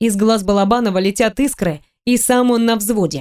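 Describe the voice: The background is quiet. Someone does plain reading aloud.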